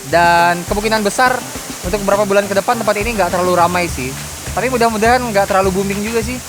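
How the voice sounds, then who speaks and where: Someone speaks at a very fast pace in a Kalimantan accent, with noticeable background noise. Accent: Kalimantan accent slipping out. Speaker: travel vlogger. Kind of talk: casual vlog talk. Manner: loud.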